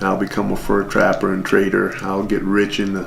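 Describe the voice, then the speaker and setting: A man's fairly low voice at a moderate pace, with noticeable background noise and audible room echo. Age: 60s. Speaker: father telling his life story. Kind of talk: interview. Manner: reflective, measured.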